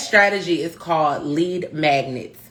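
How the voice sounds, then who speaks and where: A woman's fairly low voice, animated in tone, with lively intonation. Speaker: marketing consultant, live stream host. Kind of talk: instagram live tutorial. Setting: instagram live stream. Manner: fast.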